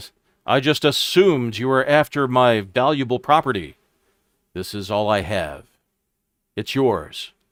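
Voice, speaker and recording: A man talks at a moderate pace in a put-on character voice, his pitch sitting in the middle range. Long pauses break up his speech often. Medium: actual play. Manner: sulky, defensive.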